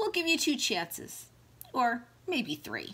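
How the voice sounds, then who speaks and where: Swinging very widely in pitch, the put-on character voice takes a fairly slow pace. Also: woman, high pitch for a woman. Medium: read story.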